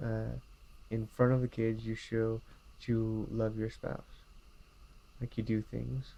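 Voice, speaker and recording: A man's medium-pitched, dark, mellow voice in a monotone, flat delivery at a fairly slow pace, broken by long, frequent pauses. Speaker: vlogger and volunteer youth worker. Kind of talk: casual vlog monologue. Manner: slurs words together at times; hesitant, many fillers.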